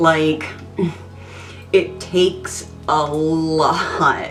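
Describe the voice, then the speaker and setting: Through noticeable background noise, a woman speaks at a very deep, low pitch. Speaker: beauty vlogger. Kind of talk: tutorial; casual chat. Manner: hesitant, many ums.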